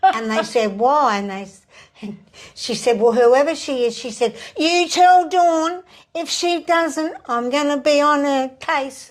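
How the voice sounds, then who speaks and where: With an Australian accent, a woman speaks at a fairly slow pace and a high pitch. Her intonation is lively and her loudness swings widely. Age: 70s. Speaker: psychic medium and spirit artist. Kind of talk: interview storytelling.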